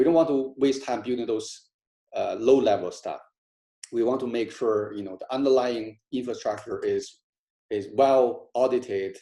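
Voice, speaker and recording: A man with a non-native accent at a moderate pace. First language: not English. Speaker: crypto project founder. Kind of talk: community call talk. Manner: halting, many fillers.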